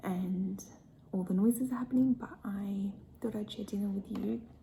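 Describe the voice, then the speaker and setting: The delivery is fairly slow. This speaker is soft-spoken. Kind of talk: ASMR soft spoken eating video, casual talk to camera.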